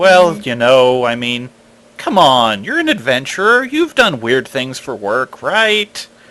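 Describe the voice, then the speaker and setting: A man puts on a character voice at a medium pitch. His pitch swings very widely as he goes at a fairly slow pace. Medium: actual play.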